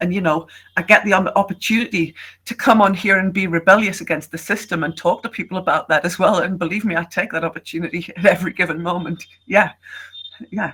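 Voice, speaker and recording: Very fast British-accented speech from a woman, bright and sharp in tone, at medium pitch with fairly even intonation. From Britain. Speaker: online English tutor. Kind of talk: casual conversation on video call.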